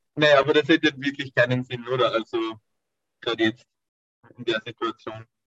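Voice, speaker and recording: A man speaks at a moderate pace and a medium pitch, with fairly even intonation and long, frequent pauses. The sound is dry and close with no echo, and music plays in the background. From Austria. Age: 20s. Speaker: calisthenics athlete. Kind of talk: interview.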